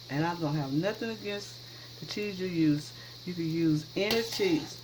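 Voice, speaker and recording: Audible room echo and noticeable background noise surround a woman's voice. She talks at a moderate pace with very wide pitch swings. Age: 60s. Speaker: cooking channel host. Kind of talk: cooking tutorial. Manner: casual, chatty.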